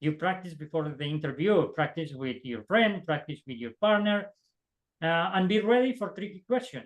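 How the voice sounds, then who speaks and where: Speaking at a moderate pace, a man with a non-native accent has a high pitch. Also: lively intonation. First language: not English. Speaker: optical engineer, alumni panelist. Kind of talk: panel discussion advice. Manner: halting, many repetitions and fillers.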